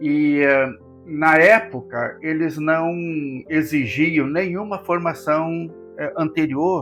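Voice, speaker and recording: There is music in the background as a man speaks. His voice is fairly high, with ordinary pitch variation. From southern Brazil, Rio Grande do Sul. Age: 80s+. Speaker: pastor. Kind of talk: interview. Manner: halting.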